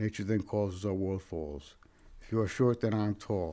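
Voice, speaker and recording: A man's fairly low-pitched voice, dark and mellow in tone, with fairly even intonation. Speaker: poet. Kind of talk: poetry reading, performed poem. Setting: studio, mic check with sound tech. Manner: rhythmic, rhyme-driven cadence.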